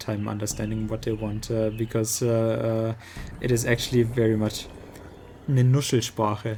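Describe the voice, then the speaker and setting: Music plays in the background as a man speaks at a fairly slow pace. His pitch is medium, and he has a strong German accent. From Germany. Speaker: video game streamer. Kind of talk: casual chat. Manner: halting, many fillers.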